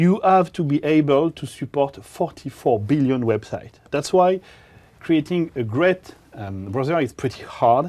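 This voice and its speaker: With a French accent, a man uses a dark, mellow tone and a fairly high pitch. His intonation is lively and his pace fairly slow. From France. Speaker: developer evangelist presenting on web technology. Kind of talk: technical conference presentation. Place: studio. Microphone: lapel.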